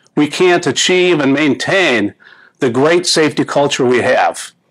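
At a moderate pace and with lively intonation, the speaking comes across a quiet background. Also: man. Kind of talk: corporate announcement to camera. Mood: upbeat, earnest. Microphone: lapel.

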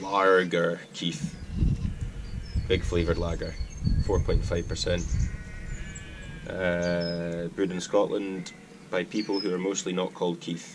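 A man's very deep, low voice at a very slow pace, with fairly even intonation, long, frequent pauses and noticeable background noise. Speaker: outdoor cooking vlogger. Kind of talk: casual vlog chat. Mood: relaxed, jokey. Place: garden. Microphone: camera far.

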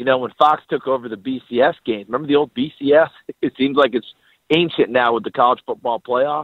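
At a moderate pace, a man uses a normal speaking voice at a medium pitch with fairly even intonation. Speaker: football analyst. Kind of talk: interview. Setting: phone call.

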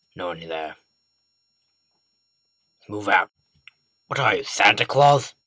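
A man puts on a character voice, fairly low in pitch. He talks at a fairly slow pace with long, frequent pauses. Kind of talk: comedic gameplay commentary in character. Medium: role play.

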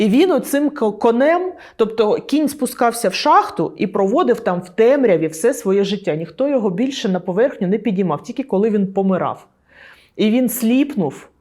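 This woman has a dark, mellow tone and a fairly high pitch, and her pitch swings very widely. She speaks at a moderate pace on a very clean recording with a silent background. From Donetsk, Ukraine. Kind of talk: interview answer. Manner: casual, conversational.

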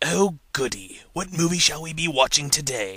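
A man puts on a character voice at a fairly high pitch. He keeps a moderate pace. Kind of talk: cheery, exaggerated. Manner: funny, playful.

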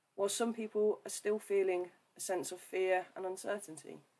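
Here a woman is speaking. She has a West Midlands accent. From English West Midlands, near Birmingham. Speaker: church ministry coordinator. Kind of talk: livestream talk with devotional reflection. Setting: Facebook live video stream. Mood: friendly, light humour. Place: home room. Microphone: webcam.

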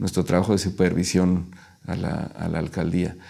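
A man speaks at a moderate pace with a Mexico City accent. His very deep, low pitch has a dark, mellow tone over a quiet background. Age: 40s. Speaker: local councillor. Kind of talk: interview. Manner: halting, many fillers. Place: studio. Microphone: lapel.

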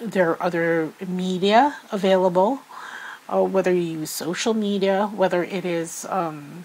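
In a Filipino accent, a woman speaks very slowly at a medium pitch with fairly even intonation. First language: Filipino language. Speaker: tarot reader. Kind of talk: spiritual tarot reading. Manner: hesitant with many fillers.

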